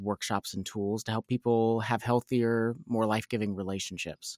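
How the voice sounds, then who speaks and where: Fairly quick and monotone, a man's fairly low voice comes through dry and close with no echo in a very clean recording over a silent background. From Kentucky, Louisville. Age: 40s. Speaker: nonprofit leader and Enneagram coach. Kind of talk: interview, personal testimony.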